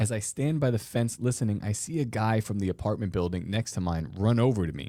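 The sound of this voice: The clip has an unforced reading voice whose pitch varies in an ordinary way.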